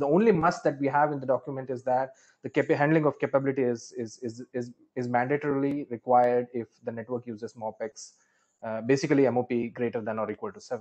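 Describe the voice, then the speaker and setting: A man with a plain, everyday voice speaks at a medium pitch and a fairly quick pace, with ordinary pitch variation. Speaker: draft author. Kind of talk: technical discussion. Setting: video call.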